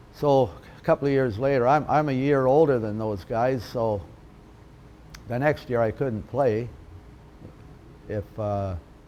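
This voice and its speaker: The speaker has a western Canadian accent, ordinary pitch variation and a fairly slow pace broken by long, frequent pauses. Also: man, medium pitch for a man. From western Canada (Alberta, then Vancouver area). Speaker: retired lacrosse player. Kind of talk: interview reminiscence. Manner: hesitant, many fillers.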